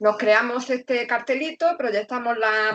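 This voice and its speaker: Speaking at a fairly slow pace with an Andalusian accent, a woman uses a fairly high pitch and ordinary pitch variation. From Andalusia, Granada. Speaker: secondary school teacher. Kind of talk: panel discussion on video call.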